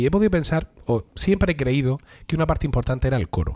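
A man with a Murcian accent, medium pitch, somewhat breathy dark, mellow tone and very fast pace. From Murcia, Spain. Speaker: podcast host. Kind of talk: casual chat among friends, humorous.

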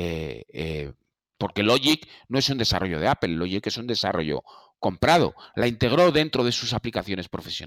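A man with a fairly low pitch speaks at a moderate pace, his voice making very wide pitch swings. The recording is very clean with a silent background, and the sound is dry and close with no echo. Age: 50s. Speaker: Apple expert. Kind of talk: casual discussion.

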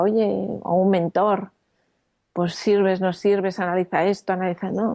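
In an ordinary speaking voice, a woman talks at a medium pitch and a fairly slow pace against a quiet background. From Spain, Madrid. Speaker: entrepreneur. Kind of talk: interview.

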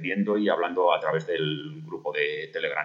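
Noticeable background noise runs through the clip. The man delivers his words at a fairly slow pace. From Spain, Burgos. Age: 50s. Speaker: amateur marathon runner. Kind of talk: personal storytelling. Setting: self-recorded audio message. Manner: halting.

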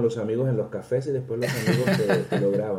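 A man speaks at a moderate pace in a plain, everyday voice, his pitch medium with ordinary variation. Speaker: storyteller. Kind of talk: interview.

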